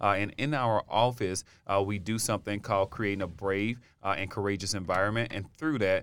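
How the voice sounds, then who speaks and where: This man has a plain, everyday voice with an American accent, a fairly low pitch, fairly even intonation, and a fairly quick pace. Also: very clean recording, silent background. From US South, Alabama. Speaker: university diversity office director. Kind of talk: casual chat.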